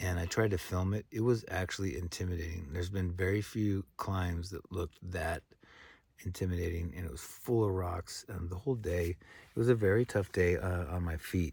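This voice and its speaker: In a very clean recording with a silent background, a soft-spoken man with a very deep, low pitch speaks somewhat breathily at a moderate pace, with ordinary pitch variation. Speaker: thru-hiker vlogger. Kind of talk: casual vlog to camera. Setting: outdoors in a tent camp. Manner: halting, many fillers.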